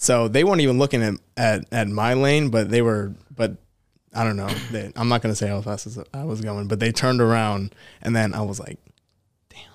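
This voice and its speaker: In a very clean recording with a silent background, a man with a plain, everyday voice speaks at a fairly quick pace with ordinary pitch variation. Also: medium pitch for a man. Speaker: podcast co-host. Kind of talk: casual chat.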